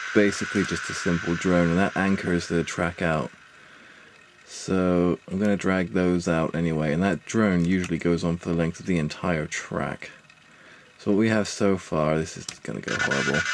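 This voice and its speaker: Soft-spoken and very deep, a man's voice moves at a moderate pace with fairly even intonation. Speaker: musician giving music production tutorial. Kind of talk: tutorial. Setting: at home on a laptop. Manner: soft-spoken, talking quietly.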